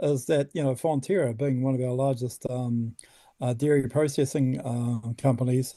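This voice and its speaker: Dark, mellow tone with a New Zealand accent over a quiet background. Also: man. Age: 60s. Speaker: environmental activist. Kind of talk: interview. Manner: halting, many fillers and repeats.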